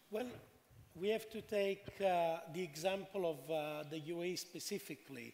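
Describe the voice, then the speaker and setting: With an Italian accent, a man talks at a moderate pace in a high pitch with ordinary variation. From Italy. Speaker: panelist. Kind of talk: panel discussion.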